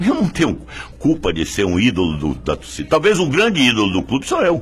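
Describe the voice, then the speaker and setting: Music in the background behind a man at medium pitch, moderate in pace, with very wide pitch swings. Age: 60s. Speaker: football club leader, election candidate. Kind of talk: press statement. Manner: animated.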